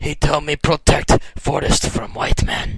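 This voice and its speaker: A put-on character voice, raspy and fairly slow. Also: man. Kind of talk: broken, simplified English.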